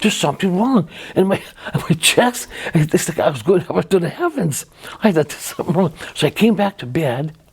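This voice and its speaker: Over noticeable background noise, a woman talks at a fairly quick pace with a fairly low pitch, lively intonation and big swings in loudness. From Dauphin, Manitoba, Canada. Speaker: church member sharing testimony. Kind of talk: interview answer. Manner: energetic, fast-talking.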